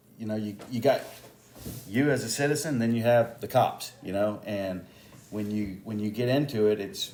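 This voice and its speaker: A man with a Texan accent, medium pitch, fairly even intonation and a moderate pace. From Texas, Houston area. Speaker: police officer and election candidate. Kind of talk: interview. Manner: halting, many fillers.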